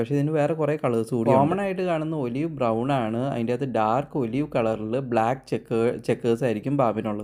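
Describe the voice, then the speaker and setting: A man at medium pitch speaks in a dark, mellow tone with ordinary pitch variation. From Kerala, India. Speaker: wildlife documentary narrator. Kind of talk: nature documentary narration.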